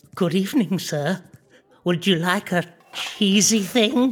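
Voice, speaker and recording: Someone uses a put-on character voice at a middle pitch and a fairly slow pace. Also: female-sounding voice. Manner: meek, eager, excitable.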